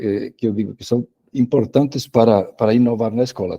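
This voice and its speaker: With a strong Spanish accent, a man speaks at a moderate pace in a medium-pitched, dark, mellow tone, his intonation fairly even and the sound dry and close with no echo. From Spain. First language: Spanish (speaking Portuguese). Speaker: education professor and author. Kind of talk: online lecture. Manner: halting, frequent repetitions.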